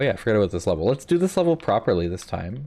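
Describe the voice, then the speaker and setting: At a very fast pace, a man speaks with lively intonation and a dark, mellow tone. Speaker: video game streamer. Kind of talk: casual chat. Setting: live stream. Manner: low energy.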